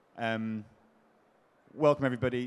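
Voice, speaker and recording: This is a man speaking with an English accent. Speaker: panel moderator. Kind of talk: conference panel moderation.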